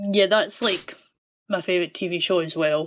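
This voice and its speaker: With a Scottish accent, a woman is talking. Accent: Scottish, sometimes mistaken for Irish. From Scotland. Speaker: caller. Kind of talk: casual chat. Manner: halting, many fillers.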